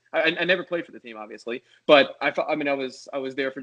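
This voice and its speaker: A man talks very fast in an American accent. His pitch sits in the medium range. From Philadelphia area, US. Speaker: sports TV producer. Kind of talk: casual chat. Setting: podcast interview. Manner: halting.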